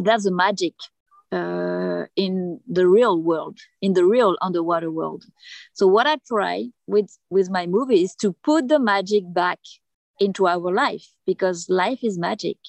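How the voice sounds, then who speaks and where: Speaking fairly slowly in a French accent, a woman keeps a medium pitch with ordinary pitch variation. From Reunion Island. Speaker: underwater filmmaker and free diver. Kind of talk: interview. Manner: halting, many fillers.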